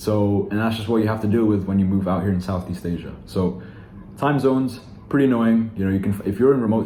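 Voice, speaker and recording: A man's fairly low, fairly quick voice with ordinary pitch variation, amid noticeable background noise and audible room echo. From Philippines-born, raised elsewhere. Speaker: online sales coach. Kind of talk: casual vlog talk to camera. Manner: casual, with many fillers and restarts.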